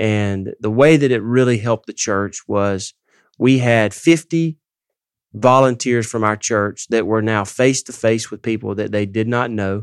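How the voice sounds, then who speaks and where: A man with a Southern US accent talks at a fairly slow pace, in a dry, close sound with no echo on a very clean recording with a silent background. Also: medium pitch for a man, ordinary pitch variation. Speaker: ministry president and founder. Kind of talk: casual chat. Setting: studio.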